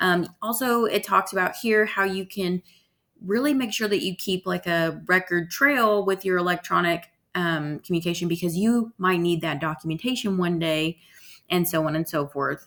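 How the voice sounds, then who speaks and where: A woman with an unremarkable speaking voice talks at a medium pitch and a moderate pace, with ordinary pitch variation. The recording is very clean, its background silent. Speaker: college instructor. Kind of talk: lecture. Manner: casual, filler-heavy.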